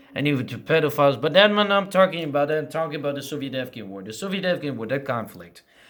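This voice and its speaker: The speaker is a man. His voice has a fairly high pitch. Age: 20s. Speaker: rapper and vlogger. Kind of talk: casual vlog rant. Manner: halting, with repeated false starts; heated.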